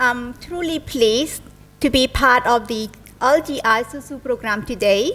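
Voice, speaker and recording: Her pitch high with ordinary variation, a woman with a Cambodian accent speaks at a fairly slow pace, her loudness swinging in big jumps. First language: Khmer. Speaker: investment manager, guest speaker. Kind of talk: formal speech at an event. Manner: formal.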